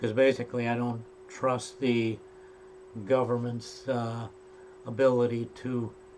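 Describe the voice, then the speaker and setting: Over noticeable background noise, a man of medium pitch speaks at a fairly slow pace in a monotone, flat intonation, with long, frequent pauses. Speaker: tutorial maker. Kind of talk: tutorial. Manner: halting, many fillers.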